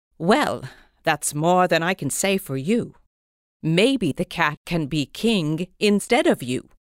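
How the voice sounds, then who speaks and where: A woman's fairly low-pitched voice at a very slow pace, with lively intonation, in a very clean recording with a silent background and a dry, close sound with no echo. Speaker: actor playing the queen. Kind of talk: scripted audio drama dialogue. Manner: dry, sarcastic, arch and prim.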